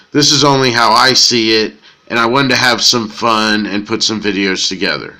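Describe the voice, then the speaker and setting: In an American accent, a man speaks at a moderate pace with a medium pitch and a bright, sharp tone. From Florida. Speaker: YouTuber analyzing comics. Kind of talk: casual video commentary. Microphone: poor audio quality.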